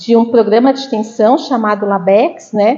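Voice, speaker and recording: A woman with a Santa Catarina accent talks at a moderate pace. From Brazil, Santa Catarina (Florianópolis). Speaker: university professor. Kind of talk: lecture. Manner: conversational, many fillers.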